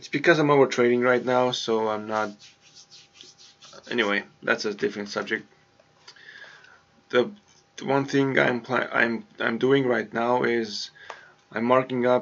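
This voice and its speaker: A man with a non-native accent speaks at medium pitch and a moderate pace, with ordinary pitch variation. He leaves long, frequent pauses over noticeable background noise. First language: not English. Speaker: forex trader vlogger. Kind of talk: screen-share trading tutorial. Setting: home hallway. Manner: halting, many repetitions.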